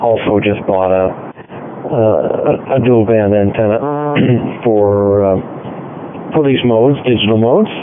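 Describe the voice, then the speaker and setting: Noticeable background noise runs through the clip. A man's voice is heard over it. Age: 70s. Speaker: amateur radio operator. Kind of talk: radio net check-in. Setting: digital radio link.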